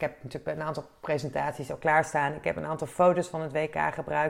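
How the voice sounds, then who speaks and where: The recording is very clean, its background silent. A woman is the one talking. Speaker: podcast host, sports and event professional. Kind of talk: solo podcast monologue. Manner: hesitant, many filler sounds.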